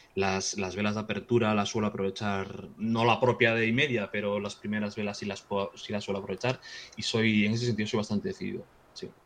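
A man's fairly low voice, monotone and flat, at a fairly quick pace. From Galicia, Spain (Vigo). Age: 40s. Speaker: trader. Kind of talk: casual chat. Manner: halting, with frequent repetitions.

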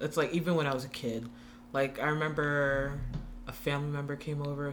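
A woman with an American accent speaks at a very fast pace in a very deep, low voice. Noticeable background noise is present. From Long Island, New York. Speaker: podcast guest. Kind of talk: casual chat.

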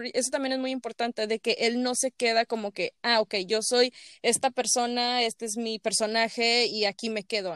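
A woman with a Mexican accent speaks at a moderate pace in a fairly high voice. The recording is very clean, with a silent background and a dry, close sound with no echo. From Mexico. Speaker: podcast host. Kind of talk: casual chat. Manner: animated.

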